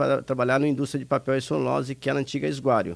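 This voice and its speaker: Recorded very cleanly against a silent background, a man speaks at a very fast pace. His pitch is medium, with ordinary pitch variation. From Brazil, Minas Gerais. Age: 60s. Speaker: retired industry administrator, charity director. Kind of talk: radio interview.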